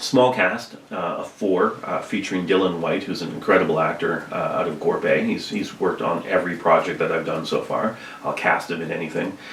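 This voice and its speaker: A soft-spoken man with a Canadian accent talks at a fairly quick pace. Audible room echo and noticeable background noise are present. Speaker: high school art teacher and filmmaker. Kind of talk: casual chat.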